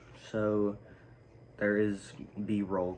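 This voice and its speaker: Audible room echo surrounds a man speaking at a very slow pace in a very deep, low pitch. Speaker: sneaker YouTuber. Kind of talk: casual vlog. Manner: quiet; hesitant, many fillers.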